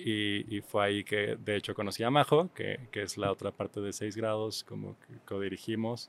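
A normal speaking voice moves at a moderate pace with hardly any pauses and ordinary pitch variation, in a dry, close sound with no echo. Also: man, fairly low pitch for a man. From Mexico City. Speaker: visual artist and exhibition organizer. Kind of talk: casual interview.

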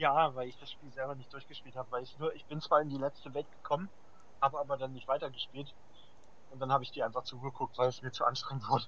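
Speaking at a very fast pace, a man with a fairly high voice and a bright, sharp tone keeps a monotone, flat intonation while his loudness swings widely. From eastern/central Germany (Saxony-Anhalt, Thuringia, Hesse). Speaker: podcast co-host. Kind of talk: casual chat.

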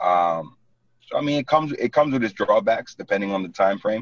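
Over music in the background, a man with a New York accent talks at a very fast pace in a dry, close sound with no echo. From New York City (Brooklyn). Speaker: real estate agent. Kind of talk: casual interview.

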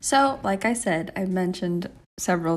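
On a very clean recording with a silent background, a woman in an American accent uses a plain, everyday voice at fairly low pitch and a moderate pace. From Texas. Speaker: podcast co-host. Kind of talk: casual faith discussion.

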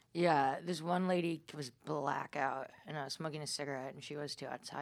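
A woman with an American accent, her pitch very deep and low, at a moderate pace. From New York area. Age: 20s. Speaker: comedian and podcast host. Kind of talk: casual chat. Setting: studio.

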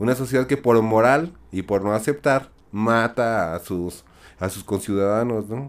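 A plain, everyday voice at a fairly slow pace, on a very clean recording with a silent background. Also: man, medium pitch for a man, ordinary pitch variation. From Mexico. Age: 40s. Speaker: podcast guest. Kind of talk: casual chat.

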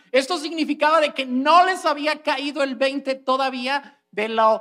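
A man speaks in a raised, projected voice at an extremely high pitch, his tone bright, sharp and animated. His pitch variation is ordinary. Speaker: preacher. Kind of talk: online sermon, teaching the congregation. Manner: animated, conversational, explaining with rhetorical questions and humor.

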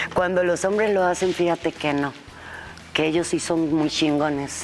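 Against noticeable background noise, a woman with a fairly low pitch speaks at a fairly slow pace in a monotone, flat intonation. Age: 50s. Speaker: podcast host. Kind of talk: casual chat. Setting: studio.

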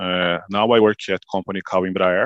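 A man is speaking. He has a Brazilian accent. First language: Portuguese. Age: 20s. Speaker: manufacturing engineer. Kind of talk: group video call, English practice. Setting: video call. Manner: halting.

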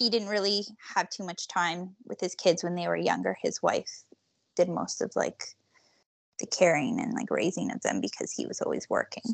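Recorded with a dry, close sound and no echo against a quiet background, a woman speaks at a moderate pace. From Toronto, Canada. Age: 30s. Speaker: office manager. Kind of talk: casual interview answers.

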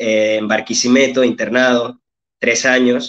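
A man with a medium pitch delivers his words at a fairly slow pace. His intonation is monotone and flat. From Venezuela, Petare (Caracas) and Sabana de Mendoza. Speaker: writer and philologist. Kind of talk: interview, personal life story.

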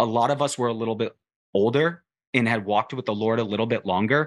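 Against a quiet background, a man at a medium pitch speaks in a normal speaking voice. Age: 30s. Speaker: faith social media influencer. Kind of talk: casual chat.

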